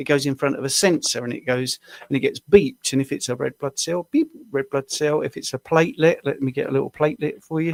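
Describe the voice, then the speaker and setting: A man with a British accent, fairly high in pitch, with ordinary pitch variation and a very fast pace. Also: dry, close sound with no echo. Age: 60s. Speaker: diabetes coach. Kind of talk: tutorial; casual chat.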